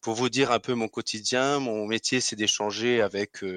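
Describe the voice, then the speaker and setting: The sound is dry and close with no echo as a man speaks at a fairly slow pace. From Alsace, France. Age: 30s. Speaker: finance sales professional. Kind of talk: interview. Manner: hesitant, with fillers.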